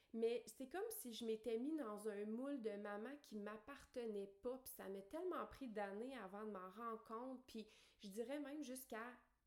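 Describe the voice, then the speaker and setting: A woman talks at a fairly slow pace in a Quebec accent, her pitch fairly high with ordinary variation. Noticeable background noise runs underneath. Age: 30s. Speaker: podcast host, life coach. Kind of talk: personal monologue. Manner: hesitant fillers.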